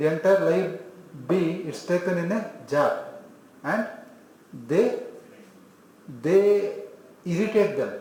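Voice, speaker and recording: A high-pitched man with an Indian accent, at a very slow pace with long, frequent pauses and ordinary pitch variation, over audible room echo and noticeable background noise. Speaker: homeopathy lecturer. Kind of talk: lecture.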